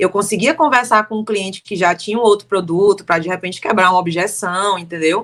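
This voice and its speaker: A woman is speaking. Her intonation is lively. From Brazil, Fortaleza (Ceará). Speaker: timeshare sales consultant. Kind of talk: casual interview chat.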